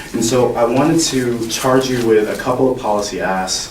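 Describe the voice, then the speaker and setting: Audible room echo surrounds a man's voice, along with noticeable background noise. He keeps a moderate pace. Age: 20s. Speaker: youth health activist. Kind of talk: public testimony. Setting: legislative hearing.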